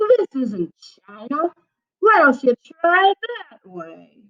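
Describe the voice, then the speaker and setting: In a gruff, put-on character voice, a woman speaks very slowly at a high pitch, with very wide pitch swings. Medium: read story. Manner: gruff, barking.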